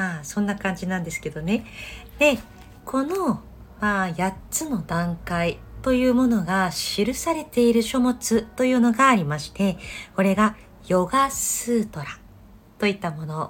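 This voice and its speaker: A woman with a somewhat breathy voice speaks slowly-ish at a fairly slow pace, medium in pitch, with lively intonation. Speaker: yoga teacher and podcast host. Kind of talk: casual solo talk.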